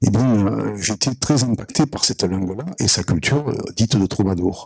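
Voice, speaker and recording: With a Provençal accent, the speaker uses lively intonation at a moderate pace in a dry, close recording with no echo. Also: man. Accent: southern French (Provençal). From Provence, southern France. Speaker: audience member. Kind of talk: audience question at a conference. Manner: hesitant, many fillers.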